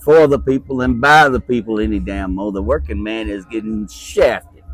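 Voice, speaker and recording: Over music in the background, a speaker with a Virginia accent talks at a moderate pace, the pitch swinging very widely. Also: man, fairly low pitch for a man. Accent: US Southern (Virginia). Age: 70s. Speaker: retired machinist. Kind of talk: interview.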